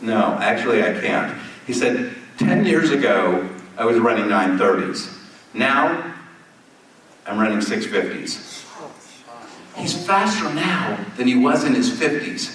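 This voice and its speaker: Amid noticeable background noise and audible room echo, a man speaks with very wide pitch swings and long, frequent pauses. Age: 60s. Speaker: telemedicine company founder. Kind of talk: keynote conversation on stage. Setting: stage with audience. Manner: animated storytelling.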